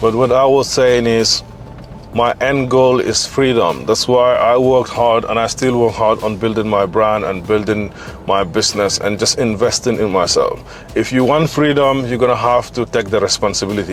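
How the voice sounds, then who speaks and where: Over background music, a man speaks at medium pitch and a moderate pace with fairly even intonation. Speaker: fitness coach and vlogger. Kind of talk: casual vlog monologue. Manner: unscripted, conversational.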